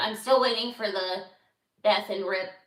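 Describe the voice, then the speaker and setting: Audible room echo surrounds the voice. A woman speaks at a medium pitch with ordinary pitch variation. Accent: American. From Los Angeles, US. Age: 30s. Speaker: podcaster. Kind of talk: casual livestream chat. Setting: livestream. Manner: animated; halting.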